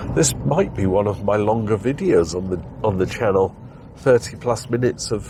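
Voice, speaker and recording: There is noticeable background noise as a man with a fairly low pitch speaks at a moderate pace with lively intonation. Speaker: driving video vlogger. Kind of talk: driving commentary vlog. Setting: in a car. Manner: casual, chatty.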